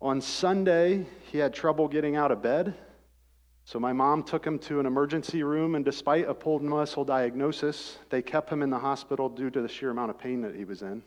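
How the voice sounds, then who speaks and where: Fairly high-pitched male voice with a Midwestern American accent, fairly quick, with ordinary pitch variation against a quiet background. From US Midwest (rural Ohio). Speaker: former pro football player and engineer. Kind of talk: testimony. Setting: church service.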